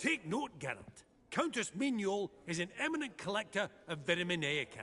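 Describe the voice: A man in a put-on character voice talks at a fairly quick pace, high-pitched with a bright, sharp tone and big pitch swings.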